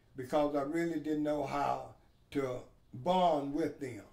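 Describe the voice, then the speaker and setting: There is audible room echo around a man's voice. He speaks at a fairly slow pace with a fairly high pitch. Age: 70s. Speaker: adult learner. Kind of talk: interview testimony.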